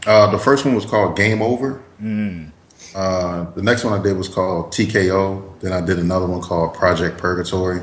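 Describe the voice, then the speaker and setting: A man with a very deep, low pitch talks at a moderate pace with ordinary pitch variation. Audible room echo and noticeable background noise surround his voice. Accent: American. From US East Coast. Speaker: actor and comic book creator. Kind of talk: casual interview. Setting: Skype call.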